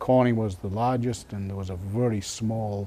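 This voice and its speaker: A man's fairly low voice at a fairly slow pace, intonation fairly even, over noticeable background noise. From northeast England, Sunderland. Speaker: retired glass industry engineer. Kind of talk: oral history interview. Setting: museum library. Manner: hesitant, many fillers.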